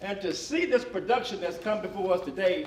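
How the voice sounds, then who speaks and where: High-pitched male voice in a West Tennessee accent, lively intonation, audible room echo and noticeable background noise. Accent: US Southern (West Tennessee). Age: 70s. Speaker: panel moderator. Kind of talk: panel discussion. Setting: stage with audience. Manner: halting.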